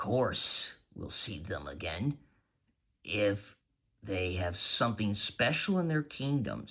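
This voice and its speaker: A man performs a put-on character voice with a fairly low pitch at a fairly slow pace. The recording is very clean, with a silent background. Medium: read story.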